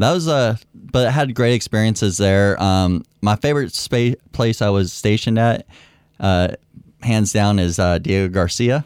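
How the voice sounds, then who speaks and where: A man with an American accent and a plain, everyday voice, fairly low in pitch, at a moderate pace with ordinary pitch variation and very even loudness, on a very clean recording with a silent background. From Bay Area, California. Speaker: Air Force veteran. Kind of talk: casual chat. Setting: studio.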